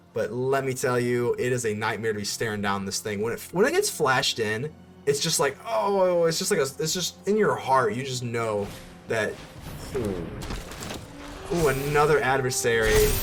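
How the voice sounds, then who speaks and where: A man with a medium-pitched voice speaks at a moderate pace in an animated tone with lively intonation, with music in the background and audible room echo. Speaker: card game streamer. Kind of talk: live gameplay commentary.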